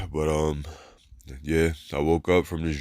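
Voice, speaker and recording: The man's pitch is very deep and low. The recording is very clean with a silent background. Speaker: religious video blogger. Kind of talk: casual testimony. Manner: halting, many fillers.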